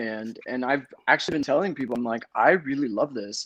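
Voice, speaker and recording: Talking at a fairly quick pace against a quiet background, a man lets his pitch swing very widely. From Los Angeles, US (Compton). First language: Spanish. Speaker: casting director. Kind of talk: interview. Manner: halting.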